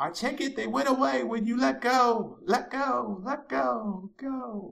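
A man puts on a character voice. It is high-pitched and fairly slow.

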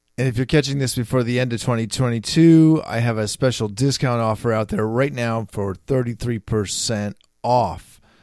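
On a very clean recording with a silent background, a man with an American accent and a normal speaking voice talks at a moderate pace and a medium pitch. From San Francisco, US. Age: 50s. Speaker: podcast host and writer. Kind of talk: casual chat. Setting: guest's home office studio.

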